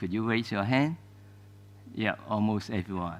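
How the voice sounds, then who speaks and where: A man talks in a Cantonese accent with ordinary pitch variation. The recording is very clean, with a silent background. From Hong Kong. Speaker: archivist. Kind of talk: lecture. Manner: halting, many fillers.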